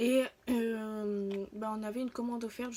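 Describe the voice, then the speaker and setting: A woman at a very slow pace, with high pitch and fairly even intonation. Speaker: YouTuber reviewing free samples. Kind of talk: casual vlog. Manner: halting, many fillers.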